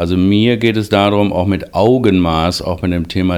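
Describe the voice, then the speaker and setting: Here a man talks with a very deep, low pitch. His intonation is fairly even and his pace moderate. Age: 50s. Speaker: diabetes researcher, professor. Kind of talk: interview. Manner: formal.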